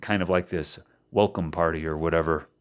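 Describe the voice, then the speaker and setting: A man at a moderate pace, in a very clean recording with a silent background. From Indiana, USA. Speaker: English teacher. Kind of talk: casual podcast storytelling.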